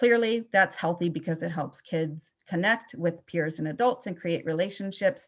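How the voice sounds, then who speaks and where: A woman talks in a normal speaking voice, fairly low in pitch, at a moderate pace. Her intonation is lively, and the background is quiet. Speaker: school psychologist. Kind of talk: webinar presentation.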